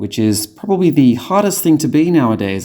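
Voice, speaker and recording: With an Australian accent, a man speaks at a moderate pace in a dark, mellow tone, his pitch swinging very widely. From Sydney, Australia. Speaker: podcast host. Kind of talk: comedic audio diary tour. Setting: walking around home apartment.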